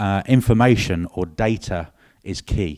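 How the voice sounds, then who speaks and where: On a very clean recording with a silent background, a voice with a British accent has a dark, mellow tone and ordinary pitch variation, the sound dry and close with no echo. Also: man. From UK. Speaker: industry marketing director, former engineer. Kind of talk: conference presentation. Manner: hesitant, many fillers.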